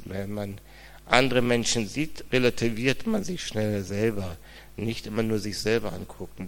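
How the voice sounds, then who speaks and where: Over audible room echo, a man speaks at a moderate pace in a fairly low pitch with ordinary pitch variation. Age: 50s. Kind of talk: interview testimony in church service.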